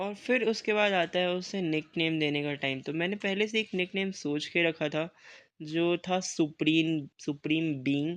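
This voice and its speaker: Here a man speaks with a high pitch at a fairly slow pace. The background is quiet. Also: ordinary pitch variation. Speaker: gaming youtuber. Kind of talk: gameplay commentary. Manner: casual.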